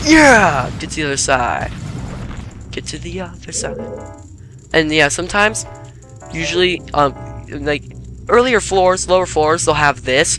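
Music plays in the background while the speech moves at a fairly slow pace. Long pauses come often. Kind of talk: casual gaming commentary. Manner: animated, excitable.

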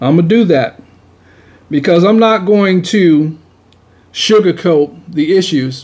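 A high-pitched male voice at a fairly slow pace, with ordinary pitch variation and very even loudness. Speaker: video blogger on church topics. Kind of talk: commentary. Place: studio. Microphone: studio mic.

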